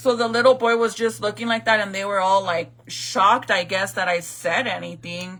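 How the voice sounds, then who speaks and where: Her tone animated, bright and sharp, a woman talks with hardly any pauses and ordinary pitch variation. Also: medium pitch for a woman, moderate pace. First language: Spanish. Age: 30s. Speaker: vlogger. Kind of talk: casual storytelling.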